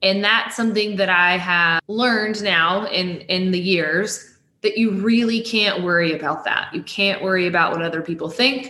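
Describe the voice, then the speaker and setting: Here is a woman with a normal speaking voice and an American accent. She talks at a moderate pace and medium pitch, with ordinary pitch variation and hardly any pauses. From Texas, near Waco. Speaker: staffing firm regional director. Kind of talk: interview.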